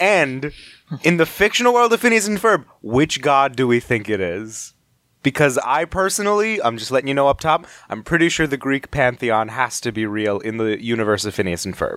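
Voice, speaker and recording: The tone is animated and playful, with very wide pitch swings at a moderate pace. The recording is very clean, with a silent background. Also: man, medium pitch for a man. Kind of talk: street seller pitch, mock cowboy sales spiel. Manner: animated, mock-salesman patter, playful and exaggerated.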